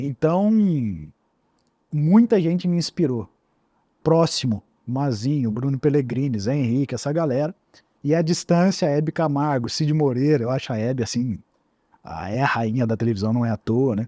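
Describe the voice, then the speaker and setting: A man with a fairly high, dark, mellow voice speaks at a moderate pace, using lively intonation. He leaves long, frequent pauses, and the sound is dry and close with no echo. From Paraíba Valley, São Paulo state (Lorena). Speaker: radio and TV announcer and presenter. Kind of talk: interview conversation. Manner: animated.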